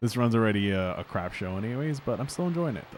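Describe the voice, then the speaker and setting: Quiet and mumbling, a man with an American accent speaks at a fairly quick pace with lively intonation. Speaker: streamer. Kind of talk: live gameplay commentary. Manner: quiet, almost mumbling.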